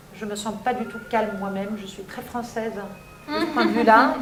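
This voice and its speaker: A woman speaks at a fairly high pitch with fairly even intonation. Audible room echo and noticeable background noise surround her voice. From France, Paris suburbs (Seine-Saint-Denis). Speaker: teacher. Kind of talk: interview.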